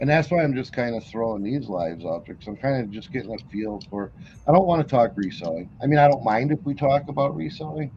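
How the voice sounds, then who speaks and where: Somewhat breathy, a man with a medium-pitched voice talks fairly quickly with very wide pitch swings. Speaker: livestream host, reseller. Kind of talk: casual chat. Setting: livestream. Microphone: built-in camera microphone.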